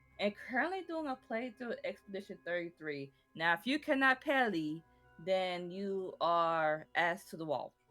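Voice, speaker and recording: With music playing behind her, a woman speaks in a Southern US accent at a moderate pace. Her pitch is medium, with very wide swings. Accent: southern American. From American South. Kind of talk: casual gaming commentary.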